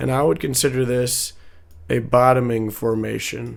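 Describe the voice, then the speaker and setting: In a room with audible echo, a man speaks very slowly at a medium pitch, his intonation fairly even. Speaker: stock and crypto market commentator. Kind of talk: chart analysis tutorial. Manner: halting, many fillers and repetitions; casual.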